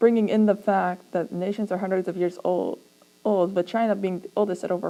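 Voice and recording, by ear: The passage is read aloud in a natural voice. Its intonation is fairly even.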